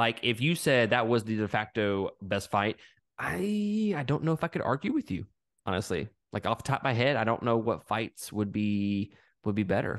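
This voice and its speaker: Against a quiet background, a man with a Southern US accent speaks in an animated tone. Long, frequent pauses break up his speech. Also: dry, close sound with no echo. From Mississippi, US South. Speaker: podcast guest. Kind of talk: casual chat.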